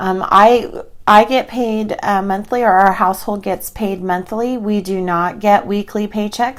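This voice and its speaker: On a very clean recording with a silent background, a woman uses a plain, everyday voice at a medium pitch and moderate pace, with ordinary pitch variation. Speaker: personal finance podcast host. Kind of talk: tutorial. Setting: screen-share video.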